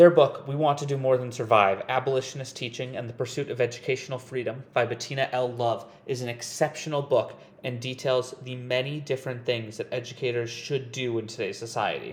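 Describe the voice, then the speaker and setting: The voice moves at a fairly quick pace with hardly any pauses. Its intonation is monotone and flat. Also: man, medium pitch for a man. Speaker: student podcaster. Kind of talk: scripted student podcast.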